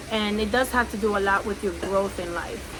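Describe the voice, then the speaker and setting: A woman with a Spanish accent speaks at a medium pitch and moderate pace with fairly even intonation, amid noticeable background noise and audible room echo. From Cuba. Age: 30s. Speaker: podcaster. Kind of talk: personal testimony. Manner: relaxed, conversational.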